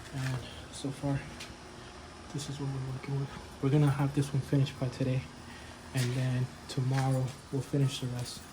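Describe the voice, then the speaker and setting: A man mumbles in a monotone, flat intonation, with long, frequent pauses. Noticeable background noise is present. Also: medium pitch for a man. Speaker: DIY home-improvement vlogger. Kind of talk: casual tutorial. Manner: mumbling; casual with many fillers.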